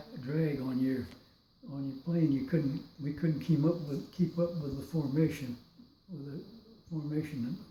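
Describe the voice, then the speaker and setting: Speaking at a moderate pace with an American accent, a man with a fairly high pitch keeps his intonation fairly even, takes long, frequent pauses and swings widely in loudness, with audible room echo around him. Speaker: war veteran. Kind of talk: testimony. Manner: halting.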